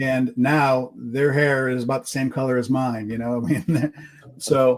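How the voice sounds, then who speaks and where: A normal speaking voice with an American accent, fairly even intonation and a fairly slow pace. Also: man, medium pitch for a man. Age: 60s. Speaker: podcast host. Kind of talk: podcast interview. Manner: casual, conversational.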